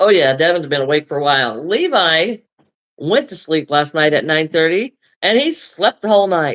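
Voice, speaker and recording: A woman speaks at a moderate pace in a plain, everyday voice with an American accent, her fairly low pitch carried by lively intonation in a dry, close sound with no echo. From United States. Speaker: crochet and craft livestreamer. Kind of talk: casual chat.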